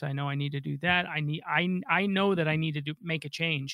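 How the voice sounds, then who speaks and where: A man with a plain, everyday voice speaks at a moderate pace, his fairly high pitch held in fairly even intonation. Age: 40s. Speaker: financial advisor. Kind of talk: radio call-in advice show. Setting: radio studio.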